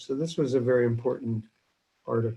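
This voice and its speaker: A man speaks at a medium pitch. His voice is somewhat breathy. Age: 60s. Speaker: neurosurgeon. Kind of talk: lecture.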